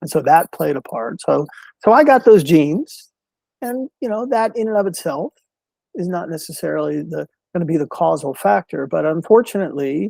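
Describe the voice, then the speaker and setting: In a dry, close, very clean recording with no echo and a silent background, a man speaks at a moderate pace in a high pitch with a dark, mellow tone and very wide pitch swings. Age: 60s. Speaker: mental health speaker. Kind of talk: interview. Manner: halting, repeats words.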